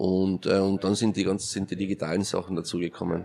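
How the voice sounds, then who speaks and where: A man with a Carinthian accent talks in a very deep, low pitch. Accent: Austrian German, Carinthian. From Austria, Carinthia. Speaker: entrepreneur and event organiser. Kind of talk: interview.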